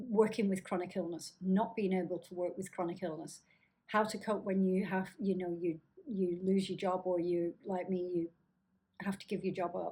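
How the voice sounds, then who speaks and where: In a Lancashire accent, a woman speaks at a moderate pace with a somewhat breathy, monotone delivery and flat intonation. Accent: northern English (Lancashire). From northern England, Blackburn, Lancashire. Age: 50s. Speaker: chronic illness vlogger. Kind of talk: casual vlog talk. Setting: home apartment, downtown high rise.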